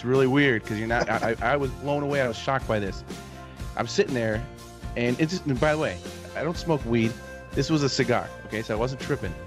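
A man speaks very fast, with clear music playing behind him. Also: ordinary pitch variation. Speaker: podcast host. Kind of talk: casual podcast storytelling. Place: home room. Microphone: studio mic.

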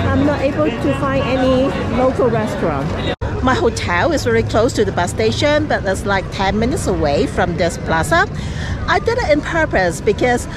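Music plays in the background as the voice moves at a moderate pace, the sound dry with no echo. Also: woman. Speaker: travel vlogger. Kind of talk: casual vlog chat. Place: street. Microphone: phone near.

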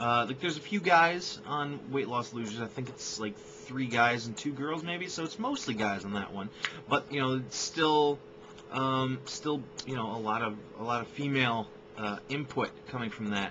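A man with lively intonation at a moderate pace, over noticeable background noise. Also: medium pitch for a man. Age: 20s. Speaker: vlogger and filmmaker; vlogger. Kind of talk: casual vlog introduction. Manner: halting, many fillers. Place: home room. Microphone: webcam.

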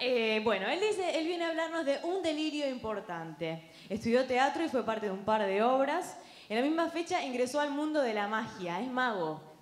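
The speech runs with hardly any pauses and very wide pitch swings. Audible room echo surrounds it. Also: woman, high pitch for a woman, moderate pace. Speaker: emcee. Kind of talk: event hosting. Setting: stage with audience. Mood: light, joking. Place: stage. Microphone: handheld.

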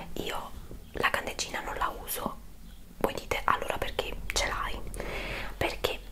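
Whispering at a fairly slow pace, a woman is heard. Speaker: home product reviewer. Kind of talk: casual vlog chat. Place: home room.

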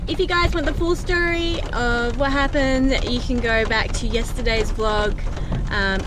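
A woman's voice over noticeable background noise. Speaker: family vlogger. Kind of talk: casual vlog chat. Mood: a little nervous. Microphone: phone near.

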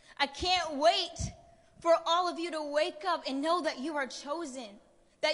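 Against a quiet background, a woman with an American accent speaks at a moderate pace and a high pitch in an animated, passionate tone. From US. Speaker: spoken word poet. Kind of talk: spoken word poetry performance. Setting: stage with audience. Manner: animated, rhythmic, passionate delivery with rhetorical build-up; emphatic and preacher-like, urgent. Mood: urgent, preaching tone. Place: stage. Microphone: handheld.

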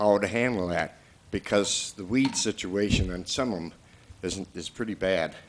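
Noticeable background noise accompanies a man who keeps to a moderate pace. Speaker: resident at public comment. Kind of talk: public comment at a meeting. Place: hall. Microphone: podium.

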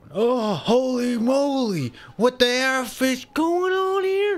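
Using a put-on character voice, a man speaks at a very slow pace with an extremely high pitch. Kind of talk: gaming commentary. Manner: goofy, exaggerated. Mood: shocked, startled.

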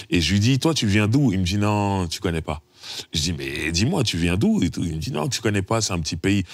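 A man speaks in a normal speaking voice, fairly low-pitched and with lively intonation at a moderate pace. The sound is dry with no echo, and the background is quiet. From France, Paris suburbs (Sarcelles); France. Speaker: rapper; interviewee. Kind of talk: casual chat. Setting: studio. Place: studio.

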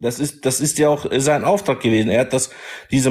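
A man's plain, everyday voice, fairly high in pitch, with ordinary pitch variation. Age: 40s. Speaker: caller in religious debate. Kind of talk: religious debate.

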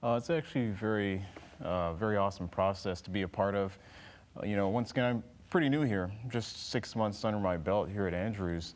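A man with a fairly low pitch talks at a fairly quick pace, his pitch varying in an ordinary way. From Texas (Dallas); Texas. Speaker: flight instructor, former Navy pilot; flight instructor. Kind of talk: interview. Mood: calm, earnest. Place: studio.

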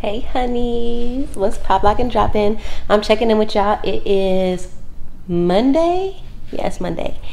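A woman is speaking. There is light background noise behind her. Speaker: lifestyle vlogger. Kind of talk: casual vlog chat. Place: home room. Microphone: phone near.

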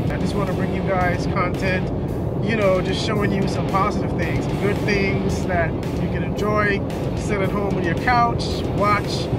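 A man's voice, dry with no echo, with music in the background. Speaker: vlogger. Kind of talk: casual vlog chat. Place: car.

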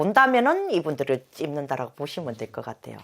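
Vocal fry runs through this fairly quick delivery, which rises and falls in very wide pitch swings. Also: woman. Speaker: fortune teller. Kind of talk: fortune-telling interview chat.

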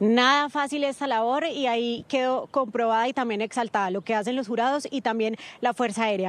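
A high-pitched woman talks at a fairly quick pace with ordinary pitch variation, in a dry sound with no echo. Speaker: TV news reporter. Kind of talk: news report stand-up. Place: street. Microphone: handheld.

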